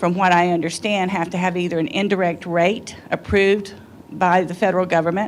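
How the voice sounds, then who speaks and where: Here a woman talks at a moderate pace. Her pitch is medium, with fairly even intonation. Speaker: workshop attendee. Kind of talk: audience comment in Q&A. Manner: loud. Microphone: speaking without a microphone.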